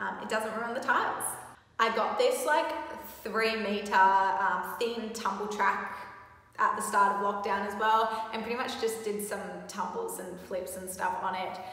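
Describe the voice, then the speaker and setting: Speaking at a fairly slow pace with fairly even intonation, a woman is heard with audible room echo. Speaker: athlete vlogger. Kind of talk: casual vlog chat. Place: gym. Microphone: phone near.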